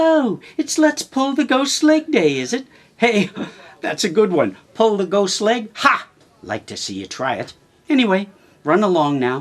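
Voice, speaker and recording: In a put-on character voice, someone speaks at a moderate pace with a fairly high, whiny pitch that makes very wide swings. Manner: sarcastic, mocking.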